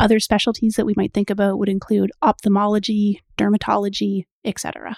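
A woman talks at a very fast pace with a Canadian accent. Her medium-pitched voice keeps a monotone, flat intonation. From Canada. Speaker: equine veterinarian. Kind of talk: podcast interview.

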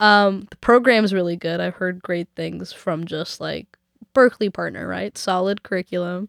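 A woman with a Canadian accent is heard in a dry, close sound with no echo. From Vancouver. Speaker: singer-songwriter and music student. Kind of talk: casual interview chat. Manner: fast, halting with fillers.

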